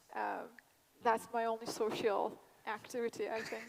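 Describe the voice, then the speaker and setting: Noticeable background noise runs beneath a woman's voice. She talks at a moderate pace with a fairly high pitch. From Turkey. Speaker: vaccine expert panelist. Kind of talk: panel discussion.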